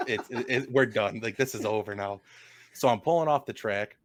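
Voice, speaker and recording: Recorded very cleanly over a silent background, a man at a medium pitch talks at a fairly quick pace with ordinary pitch variation. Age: 20s. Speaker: racing driver and podcast co-host. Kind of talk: casual chat. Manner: animated.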